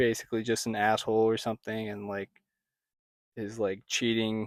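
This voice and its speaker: A man talks fairly slowly at a fairly low pitch with ordinary pitch variation. The recording is very clean with a silent background and a dry, close sound with no echo. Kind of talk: ASMR soft-spoken review. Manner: casual, hesitant.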